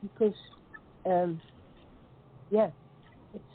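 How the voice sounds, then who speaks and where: A woman speaks over noticeable background noise. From Netherlands. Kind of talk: interview answer.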